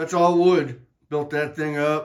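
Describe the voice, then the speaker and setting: A man is speaking. His pace is fairly slow. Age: 60s. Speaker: hobbyist video maker. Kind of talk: casual walkthrough video. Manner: casual, with fillers.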